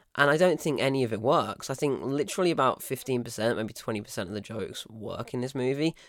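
In a British accent, the speaker talks with ordinary pitch variation. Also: man. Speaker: film review podcaster. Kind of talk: solo film review. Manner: casual conversational.

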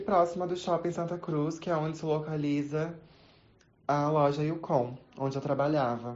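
Speaking at a moderate pace with fairly even intonation, a woman has a very deep, low voice, and the room echo is audible. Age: 20s. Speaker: retail saleswoman. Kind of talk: recorded testimony.

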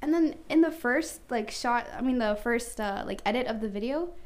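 The room echo is audible. Through it, a woman talks. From Canada. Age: 20s. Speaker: wig maker and hair business owner. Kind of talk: casual chat.

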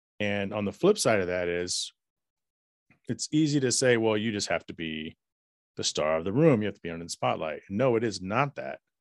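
A man's plain, everyday voice, fairly low in pitch, at a fairly quick pace with lively intonation, dry and close with no echo, against a quiet background. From US South, Dallas, Texas. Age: 40s. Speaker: podcaster and IT worker. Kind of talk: interview conversation.

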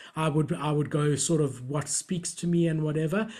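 Somewhat breathy, a man with a fairly high pitch talks at a fairly quick pace. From South Africa. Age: 30s. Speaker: entrepreneur and collector. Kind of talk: casual interview chat.

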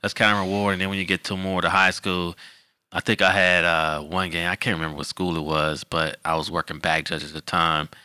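A man's very deep, low voice with an American accent, very fast and monotone, bright and sharp in tone, dry and close with no echo, on a very clean recording with a silent background. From Detroit, Michigan. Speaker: football official. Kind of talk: casual interview.

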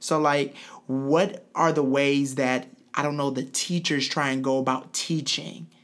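In an American accent, a man with a normal speaking voice talks fairly slowly at a fairly high pitch with fairly even intonation. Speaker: podcast host. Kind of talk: interview.

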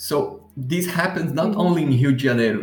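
Music plays in the background as a speaker with a Portuguese accent talks in a room with audible echo. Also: man. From southern Brazil, Curitiba. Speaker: podcast host. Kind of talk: interview answers, casual chat.

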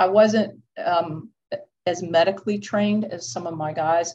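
A woman speaks in a plain, everyday voice with an American accent. Her pitch is fairly low, with ordinary variation. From Georgia, US South. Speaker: clinical social worker and former firefighter. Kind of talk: interview conversation.

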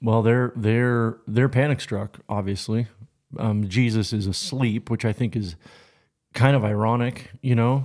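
A man speaks at a fairly slow pace in a normal speaking voice, medium in pitch, with fairly even intonation, on a very clean recording with a silent background. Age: 40s. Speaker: pastor. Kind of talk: casual chat.

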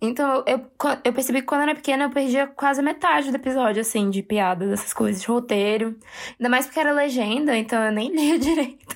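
A woman speaks with a high pitch. Her pitch varies an ordinary amount. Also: fairly quick pace, very even loudness. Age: 20s. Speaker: podcast co-host. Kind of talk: casual chat.

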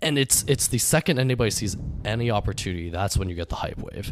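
On a very clean recording with a silent background, a man with an unremarkable speaking voice talks at a fairly quick pace with ordinary pitch variation. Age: 20s. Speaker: podcast host, venture investor. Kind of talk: casual chat.

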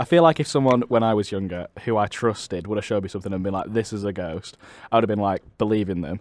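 Talking at a very fast pace with a Mancunian accent, a man shows ordinary pitch variation in a very clean recording with a silent background. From Manchester, England. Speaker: podcast host. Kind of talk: casual chat.

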